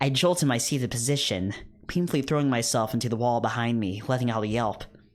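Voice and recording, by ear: The pitch rises and falls in an ordinary way as the text is read aloud in a natural voice.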